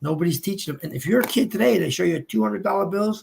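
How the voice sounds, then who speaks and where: A man with an American accent talks at a high pitch and a very fast pace. His tone is animated. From New Jersey, Hudson County. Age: 60s. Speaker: businessman and former drug dealer sharing his story. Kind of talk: panel discussion, testimony.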